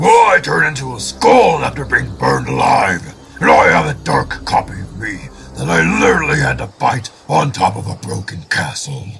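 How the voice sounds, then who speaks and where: A man puts on a character voice, pitched fairly low, and talks at a moderate pace. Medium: machinima.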